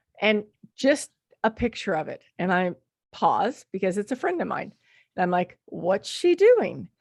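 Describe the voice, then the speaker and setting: A woman's medium-pitched voice with very wide pitch swings, a fairly slow pace, and a dry, close sound with no echo. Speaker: podcast host. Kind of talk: podcast intro.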